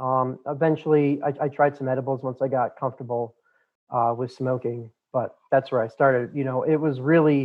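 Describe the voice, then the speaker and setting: In a General American accent, a man talks at a medium pitch and moderate pace with monotone, flat intonation. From Colorado, Boulder. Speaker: cannabis grower and business co-founder. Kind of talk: interview. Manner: hesitant with fillers.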